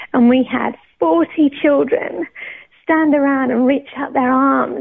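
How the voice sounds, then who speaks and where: A woman's high-pitched voice in a British accent at a very slow pace. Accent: British, non-Australian. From Scotland. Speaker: worship pastor. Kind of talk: testimony. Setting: studio.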